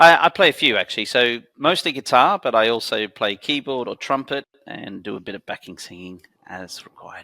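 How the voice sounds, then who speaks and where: Dry and close with no echo, a man's bright, sharp, medium-pitched voice moves at a fairly quick pace with very wide pitch swings and big swings in loudness. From Australia, Sydney. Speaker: company founder. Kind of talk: podcast interview. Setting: studio.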